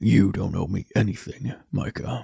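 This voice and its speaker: A man does a put-on character voice. It is quiet and raspy. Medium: read story. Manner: quiet, terse.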